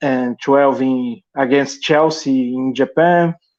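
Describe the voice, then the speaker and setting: In a Portuguese accent, a man speaks. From Brazil. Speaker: call-in fan. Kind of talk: casual chat. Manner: halting.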